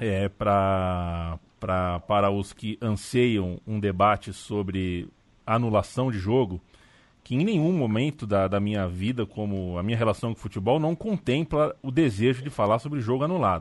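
A man with a plain, everyday voice speaks at fairly low pitch and a fairly slow pace. His pitch varies in an ordinary way against a quiet background. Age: 30s. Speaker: sports podcast host. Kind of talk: casual chat.

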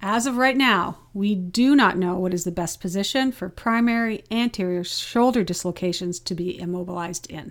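A woman speaks in an unremarkable speaking voice at medium pitch and a moderate pace. Her pitch variation is ordinary, and she hardly pauses. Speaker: physiotherapist. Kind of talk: casual interview, journal review.

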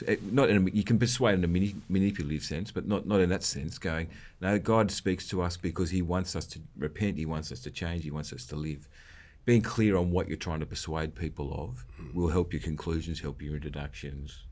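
A man with an Australian accent speaks at a fairly quick pace. His pitch is very deep and low, with ordinary variation. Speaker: podcast co-host. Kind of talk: casual conversational podcast discussion.

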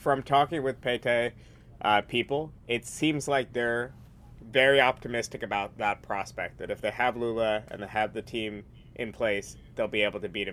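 An ordinary speaking voice with an American accent. The pace is moderate and the pitch varies in an ordinary way. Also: man, medium pitch for a man. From New York. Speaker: magazine editor and author. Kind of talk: casual discussion.

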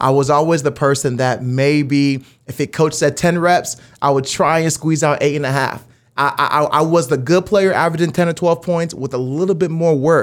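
Animated in tone, a man speaks at a fairly high pitch. His pace is moderate. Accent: American. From Las Vegas, Nevada, US; high school in Dallas, Texas. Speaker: media company CEO and sports emcee. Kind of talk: casual interview conversation. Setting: studio.

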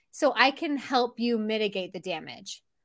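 Recorded very cleanly with a silent background, a woman speaks with very wide pitch swings. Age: 40s. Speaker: family tech channel host, IT professional. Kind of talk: casual interview chat.

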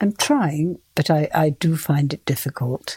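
Somewhat breathy speech at a fairly slow pace, with a dry, close sound and no echo. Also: woman. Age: 70s. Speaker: retired yoga student, host's mother. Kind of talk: casual chat.

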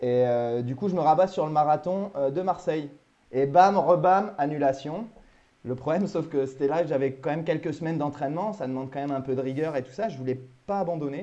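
An ordinary speaking voice from a man, fairly high-pitched, with ordinary pitch variation and a fairly quick pace. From Normandy, France. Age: 30s. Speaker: maritime gendarme and amateur runner. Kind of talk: interview. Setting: Skype call.

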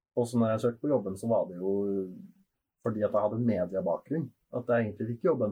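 At a very fast pace broken by long, frequent pauses, a man speaks at a medium pitch, somewhat breathy, with ordinary pitch variation. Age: 20s. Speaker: sex shop worker. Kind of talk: casual chat.

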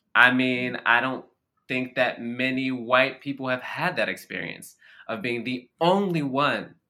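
With an American accent and a plain, everyday voice, a man speaks at a fairly slow pace and medium pitch, showing ordinary pitch variation. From US Mid-Atlantic, Baltimore. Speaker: stage actor. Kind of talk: interview conversation.

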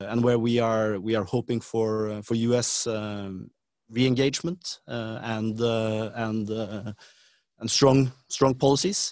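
With a Norwegian accent, a man speaks at a medium pitch and a fairly slow pace. His intonation stays fairly even. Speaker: government official. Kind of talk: interview. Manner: halting.

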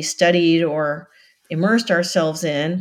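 A woman with an American accent uses an ordinary speaking voice at a fairly low pitch. She keeps a moderate pace and fairly even intonation. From US South, Florida Keys. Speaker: nonprofit director, marine biologist. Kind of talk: interview.

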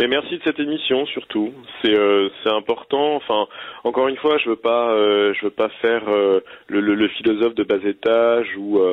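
This is a man with an unremarkable speaking voice at medium pitch. He keeps a moderate pace, fairly even intonation and very even loudness. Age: 30s. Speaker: person living with HIV. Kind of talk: recorded interview, personal testimony.

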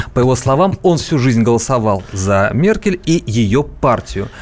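A man's lively intonation rises above noticeable background noise. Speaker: co-host, newsroom politics editor. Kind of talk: radio talk show discussion. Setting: radio studio.

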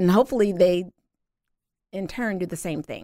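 With a Southern US accent, a woman talks at a fairly quick pace and a fairly low pitch with fairly even intonation, in a very clean recording with a silent background and a dry, close sound with no echo. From US South. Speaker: singer and cosmetics entrepreneur. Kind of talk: casual interview. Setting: studio.

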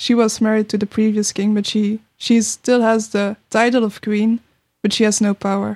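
A woman with a Belgian accent speaks at a moderate pace in a fairly high pitch, her intonation flat and monotone. Her loudness stays very even, and the sound is dry and close with no echo. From Belgium. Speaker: podcast guest, TV fan. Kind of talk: casual chat. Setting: studio.

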